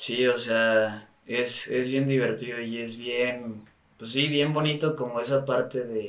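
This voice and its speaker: With a monotone, flat intonation, a man speaks very slowly at medium pitch, amid audible room echo and noticeable background noise. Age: 30s. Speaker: sports nutritionist. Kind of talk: casual chat.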